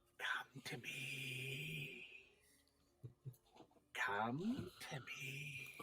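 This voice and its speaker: A man whispers in a put-on character voice. It sounds raspy. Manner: beckoning, eerie.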